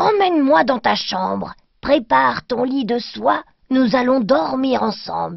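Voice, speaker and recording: A woman puts on a raspy character voice, high in pitch, and speaks at a fairly slow pace. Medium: read story.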